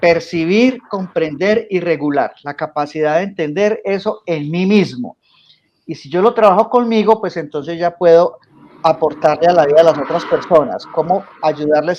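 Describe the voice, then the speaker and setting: High in pitch, a man speaks with a Colombian paisa accent. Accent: Colombian coffee-region (paisa). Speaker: coach and emotional intelligence teacher. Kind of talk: interview.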